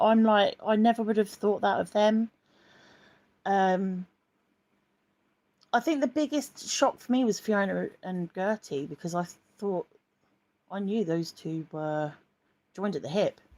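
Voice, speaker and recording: Speech moves at a fairly slow pace with long, frequent pauses. The tone is dark and mellow, and the sound is dry and close with no echo. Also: woman. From southeast England, Croydon. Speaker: YouTuber. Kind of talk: live stream chat reading comments. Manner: casual, many ums; starts soft-spoken, telephone voice.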